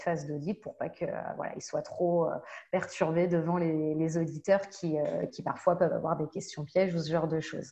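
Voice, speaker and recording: Her voice has a dark, mellow tone, and this woman keeps her intonation fairly even. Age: 30s. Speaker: data protection and security consultant. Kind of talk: online panel discussion.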